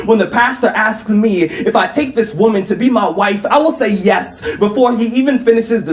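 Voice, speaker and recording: There is noticeable background noise on this clip. A man with a high pitch talks at a fairly quick pace. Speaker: spoken word poet. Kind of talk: live spoken word poetry performance.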